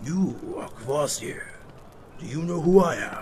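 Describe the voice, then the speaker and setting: A raspy put-on character voice at a moderate pace, over clear background noise. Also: man, high pitch for a man. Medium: read story.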